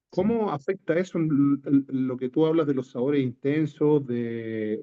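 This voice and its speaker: A man with a Chilean accent, at a fairly slow pace. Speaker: coffee grower asking a question. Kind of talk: audience question. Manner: halting, stammers.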